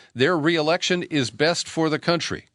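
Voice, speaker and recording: A man with vocal fry at a fairly quick pace, in a dry, close sound with no echo and a quiet background. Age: 60s. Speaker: radio host and political commentator. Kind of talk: news commentary.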